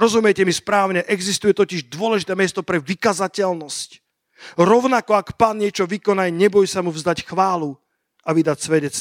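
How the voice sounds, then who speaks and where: A man at a high pitch, animated in tone, with ordinary pitch variation and a moderate pace. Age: 50s. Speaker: pastor. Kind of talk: sermon.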